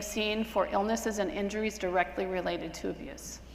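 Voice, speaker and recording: A woman's fairly high voice with fairly even intonation, set in audible room echo and noticeable background noise. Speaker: physician lecturer. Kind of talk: lecture. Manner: fast; casual, with fillers.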